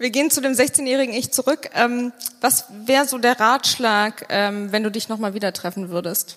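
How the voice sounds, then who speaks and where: With a fairly high pitch and ordinary pitch variation, this woman talks at a moderate pace in an ordinary speaking voice. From Bonn, Germany. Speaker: podcast host. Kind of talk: live interview on stage. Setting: stage with live audience.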